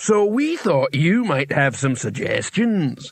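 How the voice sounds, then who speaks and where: The pace here is fairly slow. The speaker uses a put-on character voice. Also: man, high pitch for a man. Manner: meek, humble.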